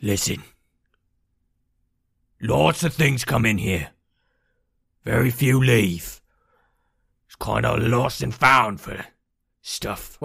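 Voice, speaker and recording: In a raspy put-on character voice, a man speaks very slowly at medium pitch with lively intonation. Long pauses break it up often. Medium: actual play. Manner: gruff, clipped, street-tough.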